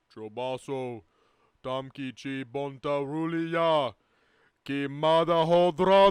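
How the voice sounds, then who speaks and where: In a put-on character voice, a man speaks at a fairly high pitch. His pace is very slow, with long, frequent pauses. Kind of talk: comic table read of sports commentary. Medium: read story. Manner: showy, excited.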